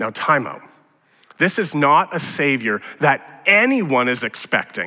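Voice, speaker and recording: A man speaks in a raised, projected voice with a bright, sharp tone. His pitch swings very widely at a moderate pace. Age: 40s. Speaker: pastor. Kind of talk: sermon.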